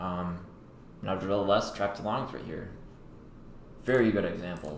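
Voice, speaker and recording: There is audible room echo around a man with a fairly low pitch. He speaks at a moderate pace with fairly even intonation. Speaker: crypto trader livestreamer. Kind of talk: live trading commentary. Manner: thinking aloud, words mixed up.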